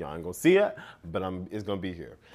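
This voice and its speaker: A man is speaking. His tone is animated. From United States. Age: 20s. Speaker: podcast host. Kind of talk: casual chat.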